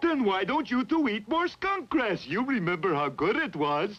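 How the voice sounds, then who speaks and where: A man's cartoonish character voice, high in pitch, with very wide pitch swings at a moderate pace. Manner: excitable, jumpy.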